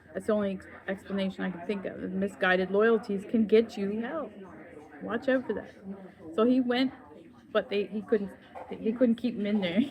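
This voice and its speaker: Delivered at a moderate pace with ordinary pitch variation, the speech has long, frequent pauses over noticeable background noise. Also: woman, medium pitch for a woman. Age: 60s. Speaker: spiritual vlogger. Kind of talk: personal testimony monologue. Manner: halting, with repetitions.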